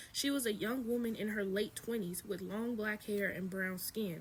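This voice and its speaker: A woman's somewhat breathy voice of medium pitch, with ordinary pitch variation. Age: 20s. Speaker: spiritual content creator. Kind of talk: reading aloud with commentary. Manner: fast; casual.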